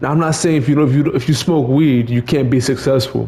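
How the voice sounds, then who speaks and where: Noticeable background noise sits behind a man's voice. His pitch is medium and his intonation fairly even. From Mexico. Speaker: streamer telling personal story. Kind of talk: casual monologue. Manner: repetitive, halting with stammered repeats.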